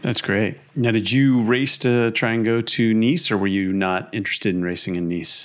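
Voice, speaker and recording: Speaking at a moderate pace with hardly any pauses, a man has an unremarkable speaking voice, medium in pitch with ordinary pitch variation. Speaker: podcast host. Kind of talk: casual chat.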